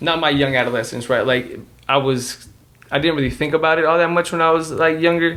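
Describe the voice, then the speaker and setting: Fairly high in pitch, a man talks at a fairly quick pace with a Spanish accent. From Dallas, Texas, US. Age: 20s. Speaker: podcast co-host. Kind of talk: casual chat. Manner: halting, many fillers.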